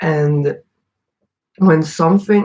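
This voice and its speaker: Speaking very slowly, a woman has a very deep, low pitch and a dark, mellow tone, somewhat breathy, with ordinary pitch variation. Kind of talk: casual monologue.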